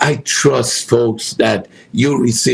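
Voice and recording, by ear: With fairly even intonation, the passage is read aloud in a natural voice.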